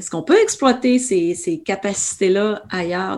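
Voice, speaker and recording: In a Quebec accent, a dark, mellow tone comes through at a fairly slow pace with ordinary pitch variation. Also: woman. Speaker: ultra-trail runner and running coach. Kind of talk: interview.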